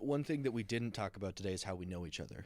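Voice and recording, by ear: With lively intonation, a man speaks fast at a fairly low pitch.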